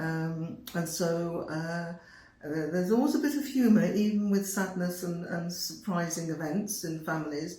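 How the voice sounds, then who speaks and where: The speech moves at a moderate pace with ordinary pitch variation. There is noticeable background noise and audible room echo. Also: woman, fairly low pitch for a woman. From England (Birmingham). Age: 70s. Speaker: retired nursing professor. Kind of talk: interview. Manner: hesitant, repeats words.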